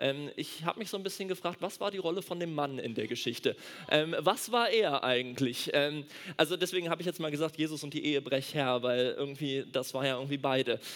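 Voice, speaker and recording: At a fairly quick pace, a man speaks in an animated tone with a fairly high pitch and ordinary pitch variation. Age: 20s. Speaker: doctor and church speaker. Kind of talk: sermon.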